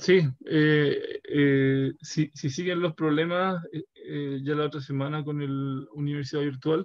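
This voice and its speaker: With a Chilean accent, a fairly high-pitched man speaks at a very slow pace in a monotone, flat intonation. He hardly pauses. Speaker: university professor. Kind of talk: lecture. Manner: halting.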